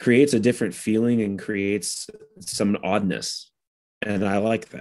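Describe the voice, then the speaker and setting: Against a quiet background, a man talks at a fairly low pitch with ordinary pitch variation. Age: 30s. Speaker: metal vocalist and musician. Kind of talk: interview. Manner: halting, many restarts.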